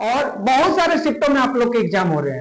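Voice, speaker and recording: A man speaks at a moderate pace in an extremely high pitch. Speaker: general knowledge teacher. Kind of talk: exam-prep lecture. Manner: casual, colloquial.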